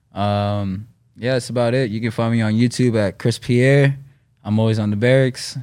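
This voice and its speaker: On a very clean recording with a silent background, a man speaks in a New York accent. His pitch is medium, his pace moderate and his intonation fairly even. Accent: New York area American. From US Northeast, Westchester, New York. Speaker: professional skateboarder. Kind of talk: casual interview.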